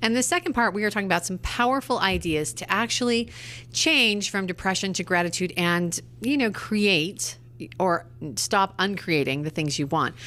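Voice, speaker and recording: A woman's bright, sharp voice with vocal fry and very wide pitch swings, at a moderate pace. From Britain. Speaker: radio co-host. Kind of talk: casual chat.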